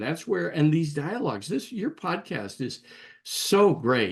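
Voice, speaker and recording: A man speaks at a moderate pace with very wide pitch swings and vocal fry. The background is quiet. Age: 70s. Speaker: executive coach and author. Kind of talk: interview.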